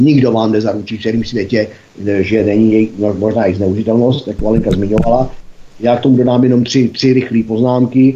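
With a fairly low pitch and monotone, flat intonation, a man speaks at a very fast pace. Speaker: institute board member, commentator. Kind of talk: casual political discussion.

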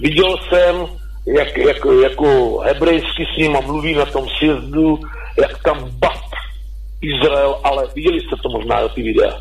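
Through noticeable background noise, a man talks at a very slow pace. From Czech Republic, Pardubice. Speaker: caller. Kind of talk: call-in question. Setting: phone call. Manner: halting.

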